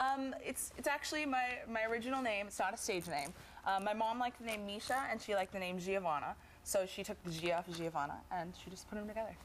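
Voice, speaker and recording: With lively intonation, a woman talks at a very fast pace. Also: medium pitch for a woman. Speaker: singer. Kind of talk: tv interview. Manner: halting.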